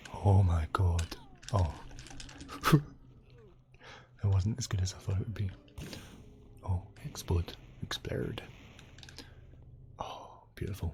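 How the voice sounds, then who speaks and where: Soft-spoken and relaxed in tone, a man talks at a very slow pace in a very deep, low pitch, with long, frequent pauses. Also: ordinary pitch variation. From Scotland. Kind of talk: gaming commentary. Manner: soft-spoken, relaxed.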